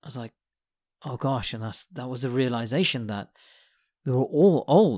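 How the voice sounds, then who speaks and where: A man's medium-pitched voice with a British accent, ordinary pitch variation and a moderate pace, in a dry, close sound with no echo on a very clean recording with a silent background. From UK. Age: 40s. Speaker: podcast host. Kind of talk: casual monologue.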